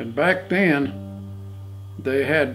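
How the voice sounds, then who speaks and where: A man speaks with lively intonation while faint music plays in the background. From Oklahoma. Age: 80s+. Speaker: farmer. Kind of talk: interview answer. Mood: warm, reminiscent. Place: home room.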